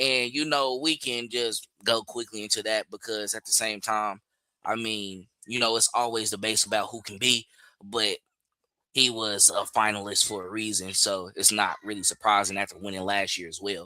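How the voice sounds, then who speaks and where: A man speaks in a fairly low voice with a bright, sharp tone and fairly even intonation. The sound is dry and close, with no echo. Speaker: sports podcast host. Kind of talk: casual podcast chat. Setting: live stream. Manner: fast.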